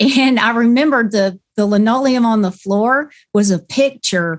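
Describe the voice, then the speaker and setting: With a Southern US accent, a woman talks at a fairly slow pace in a fairly high pitch. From Florida, Wildwood (US South). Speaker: singer-songwriter. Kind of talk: interview, storytelling. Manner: casual, hesitant with fillers.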